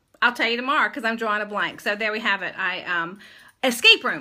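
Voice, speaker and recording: A woman raises and projects her voice, speaking at a fairly quick pace with a bright, sharp tone. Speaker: live video host and event founder. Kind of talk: casual live-stream chat. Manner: halting, stumbling over words.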